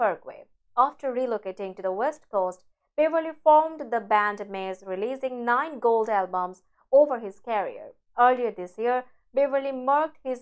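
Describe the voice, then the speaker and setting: Her voice is high-pitched and moves at a moderate pace. The woman is heard against a quiet background. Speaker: news anchor. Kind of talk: news reading. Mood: sombre, measured. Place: studio. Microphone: lapel.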